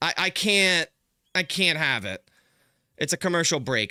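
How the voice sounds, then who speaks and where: In a very clean recording with a silent background and a dry, close sound without echo, a bright, sharp, animated voice with lively intonation moves at a moderate pace with a slight Philadelphia accent. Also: man. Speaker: sports streamer giving play-by-play. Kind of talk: live play-by-play commentary. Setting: live stream.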